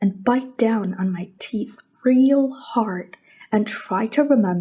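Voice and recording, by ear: Someone reads aloud in a natural voice.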